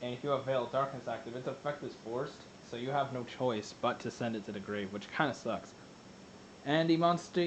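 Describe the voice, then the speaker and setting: Over noticeable background noise, a man delivers his words at a fairly quick pace. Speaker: card game YouTuber. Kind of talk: tutorial. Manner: fast; halting.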